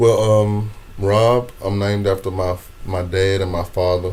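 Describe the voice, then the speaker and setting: Audible room echo surrounds the recording. A man speaks with monotone, flat intonation. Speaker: comedian. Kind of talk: interview conversation. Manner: stammering repetitions.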